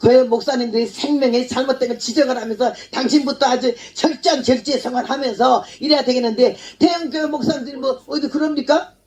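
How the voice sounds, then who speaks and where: Speaking at a moderate pace, a woman with a high pitch shows ordinary pitch variation. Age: 80s+. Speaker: missionary preacher. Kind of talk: sermon. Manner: animated.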